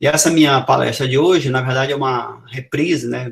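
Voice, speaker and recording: Fairly quick speech from a man of medium pitch, with vocal fry. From Brazil, Amazonas. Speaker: professor. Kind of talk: lecture.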